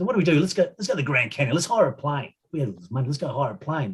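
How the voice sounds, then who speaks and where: In an Australian accent, a man speaks at a very fast pace with very wide pitch swings. His voice is somewhat breathy. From Adelaide, South Australia. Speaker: retired footballer. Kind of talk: casual storytelling interview. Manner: halting, many fillers.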